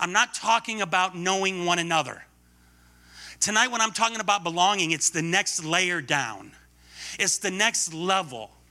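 A man with a high pitch speaks in a raised, projected voice, animated and bright and sharp in tone, with ordinary pitch variation. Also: moderate pace. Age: 50s. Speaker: guest preacher. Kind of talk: sermon. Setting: church.

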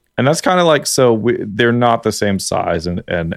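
On a very clean recording with a silent background, a man with a Canadian accent speaks at a moderate pace, the sound dry and close with no echo. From Canada. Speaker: streamer and podcast guest. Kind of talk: casual banter podcast chat.

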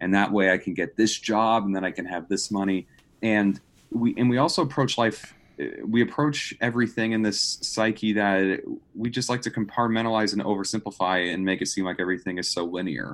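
In an ordinary speaking voice, a man talks at a fairly quick pace with fairly low pitch and ordinary pitch variation, on a very clean recording with a silent background. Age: 20s. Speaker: marketing graduate. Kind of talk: casual chat.

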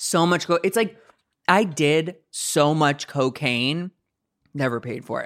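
A man's fairly high-pitched voice with an American accent, a very slow pace and ordinary pitch variation. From US Midwest, St. Louis, Missouri. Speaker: comedian. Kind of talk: casual chat.

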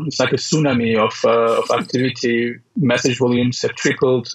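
Man with a medium-pitched voice. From raised by French and British diplomat parents. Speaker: tech company founder and CEO. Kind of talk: interview.

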